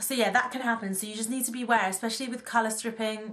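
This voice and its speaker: A woman speaks in a British accent. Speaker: beauty vlogger. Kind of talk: casual vlog talk. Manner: fast.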